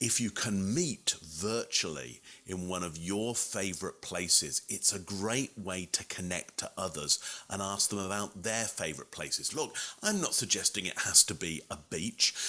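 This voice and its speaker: At a moderate pace, a man with a fairly low voice speaks in an animated, bright, sharp tone with ordinary pitch variation. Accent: London. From England, London. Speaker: communication expert and keynote speaker. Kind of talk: presentation tutorial to camera. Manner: conversational, animated.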